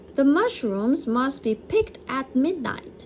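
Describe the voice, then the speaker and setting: A woman's put-on character voice, high in pitch and fairly slow, over clear background noise. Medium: read story.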